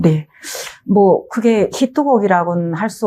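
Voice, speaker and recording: The woman's tone is dark and mellow. She speaks at a fairly slow pace. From North Korea, North Hamgyong. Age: 50s. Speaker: singer, North Korean defector. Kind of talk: life story interview.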